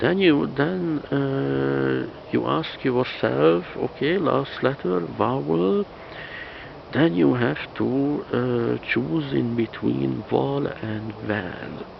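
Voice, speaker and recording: A man with a Hungarian accent at a very slow pace, very wide pitch swings, and noticeable background noise. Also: fairly low pitch for a man. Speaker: language teacher. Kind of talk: tutorial. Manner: halting, many fillers and repetitions.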